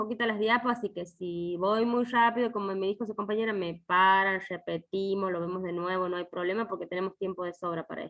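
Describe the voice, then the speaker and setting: Speaking at a moderate pace, a woman with medium pitch and lively intonation has an unremarkable speaking voice. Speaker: university lecturer. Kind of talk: online lecture.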